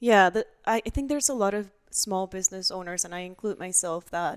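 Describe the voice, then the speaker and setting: A woman speaks at a medium pitch with a Spanish accent and fairly even intonation. The sound is dry and close with no echo. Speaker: business owner. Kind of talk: interview conversation.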